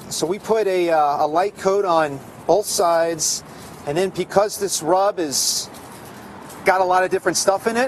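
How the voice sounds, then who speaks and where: The intonation stays fairly even. Light background noise can be heard. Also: man, high pitch for a man, moderate pace. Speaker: guest. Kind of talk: interview answer, cooking demo. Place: street.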